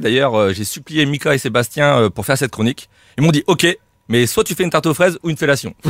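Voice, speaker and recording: A man with a Corsican accent, fairly high-pitched and very fast, with lively intonation, in a dry, close sound with no echo on a very clean recording with a silent background. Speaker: comedian radio columnist. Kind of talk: comic roast column.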